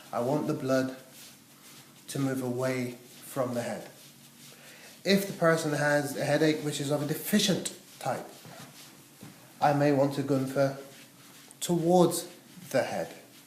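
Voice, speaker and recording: A man with a fairly high pitch speaks at a fairly slow pace, leaving long, frequent pauses, and his pitch varies in an ordinary way. Audible room echo and noticeable background noise are present. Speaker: massage therapy teacher. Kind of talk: demonstration tutorial.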